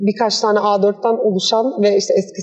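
The speaker is a woman with a medium pitch. She goes at a moderate pace, her intonation fairly even. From Istanbul, Turkey. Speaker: architect and workshop founder. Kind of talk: interview. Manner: hesitant, many fillers.

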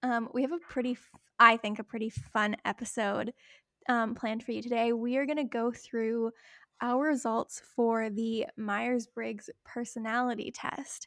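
A woman speaks in a normal speaking voice at a fairly slow pace. The recording is very clean with a silent background, the sound dry and close with no echo. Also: fairly high pitch for a woman. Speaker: podcast host. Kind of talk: casual chat.

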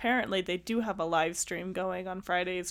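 An unremarkable speaking voice from a woman, medium in pitch and moderate in pace. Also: very clean recording, silent background. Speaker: podcast host. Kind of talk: casual chat.

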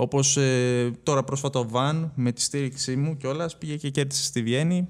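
This is an unremarkable speaking voice from a man at a medium pitch with ordinary pitch variation. He goes at a moderate pace, and the recording is very clean with a silent background. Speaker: esports tournament organizer. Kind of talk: casual chat. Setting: studio.

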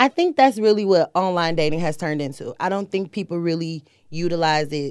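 A woman with a normal speaking voice talks at a moderate pace, with hardly any pauses. Her pitch is fairly low, with ordinary pitch variation. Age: 30s. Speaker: first-time podcast guest. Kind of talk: casual chat.

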